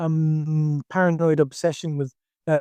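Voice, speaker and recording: A man speaks at a high pitch and a fairly slow pace. The background is quiet. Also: dry, close sound with no echo. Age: 60s. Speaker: karate instructor. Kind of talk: casual chat. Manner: halting.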